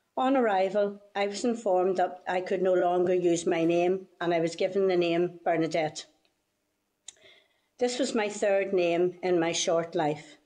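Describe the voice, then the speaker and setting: This woman has a dark, mellow tone at a medium pitch, with ordinary pitch variation and a Northern Irish accent. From Northern Ireland. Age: 70s. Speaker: witness giving testimony. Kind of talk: testimony.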